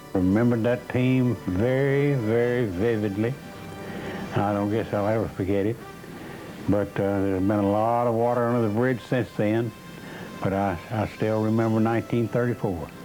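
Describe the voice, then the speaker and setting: Intonation holds fairly even throughout. Background music plays underneath. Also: man, fairly low pitch for a man, moderate pace, very even loudness. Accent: American. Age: 80s+. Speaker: former football quarterback. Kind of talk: interview answer.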